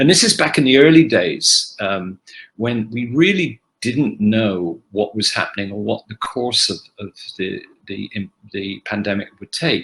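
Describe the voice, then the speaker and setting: Speaking at a fairly slow pace, a man shows big swings in loudness. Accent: English. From England, Oxford. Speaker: actor. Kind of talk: fan Q&A panel. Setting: video call. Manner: halting.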